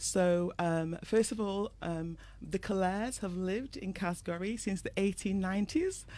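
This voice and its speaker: A woman with a British accent at a medium pitch, in a dark, mellow tone, at a fairly slow pace with hardly any pauses and ordinary pitch variation, on a very clean recording with a silent background. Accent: British, noticeable. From England (moved from Dominica at six). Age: 50s. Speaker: trainer, guest. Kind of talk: radio interview.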